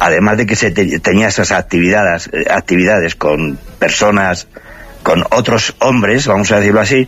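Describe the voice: A man speaks at a moderate pace in a fairly low voice with a fairly bright tone. His pitch varies in an ordinary way.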